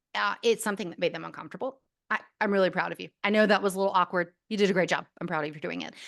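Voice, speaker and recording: A woman talks very fast at medium pitch with vocal fry and fairly even intonation, her loudness swinging widely. The background is quiet. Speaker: speech and debate coach, former news anchor. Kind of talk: podcast interview.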